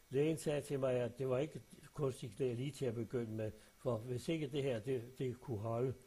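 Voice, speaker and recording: At medium pitch, a man speaks at a moderate pace with fairly even intonation. His tone is dark and mellow, somewhat breathy. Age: old. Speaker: retiree sending a voice message to family. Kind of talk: personal voice message. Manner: halting, with many fillers.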